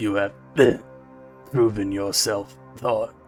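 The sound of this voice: Over clear background music, a man does a strained, put-on character voice at a fairly low pitch.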